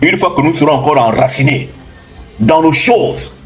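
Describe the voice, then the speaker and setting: Audible room echo and noticeable background noise around a male speaker. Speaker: spiritual teacher. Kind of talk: impassioned lecture. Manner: loud; animated.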